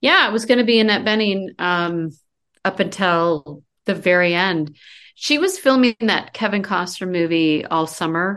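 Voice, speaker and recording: In a normal speaking voice with an American accent, a woman talks at a moderate pace and medium pitch with ordinary pitch variation against a quiet background. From US Midwest/Mountain West (Iowa and Colorado). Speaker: screenwriter and author. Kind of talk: casual interview.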